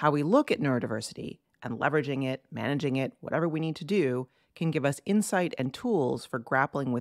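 In a very clean recording with a silent background and a dry, close sound with no echo, a woman with a very deep, low pitch speaks fairly quickly with lively intonation. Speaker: podcast host, cartoonist and business coach. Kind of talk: podcast interview with scripted intro.

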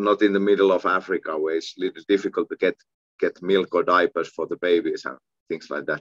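Speaking at a moderate pace in a Finnish accent, a man is heard with a dry sound with no echo over a quiet background. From Finland. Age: 40s. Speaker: kickboxing champion and coach. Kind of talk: casual interview. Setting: video call. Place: home room. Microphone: video call.

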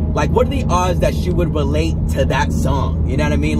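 Over loud background noise, a man talks at a fairly quick pace in a dry sound with no echo. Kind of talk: casual vlog chat. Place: car. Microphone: phone near.

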